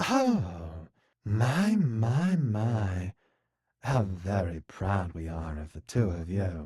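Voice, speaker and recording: A man does a put-on character voice at a fairly low pitch and a very slow pace. His intonation is lively, with big swings in loudness. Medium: read story. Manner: unctuous, patronizing.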